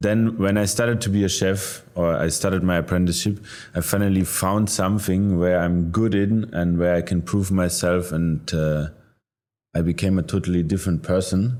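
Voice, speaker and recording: A man with a German accent, very deep and low in pitch, with a dark, mellow tone, fairly even intonation, very even loudness, and a moderate pace. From Germany. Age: 30s. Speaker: chef. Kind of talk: interview. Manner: halting, with frequent fillers.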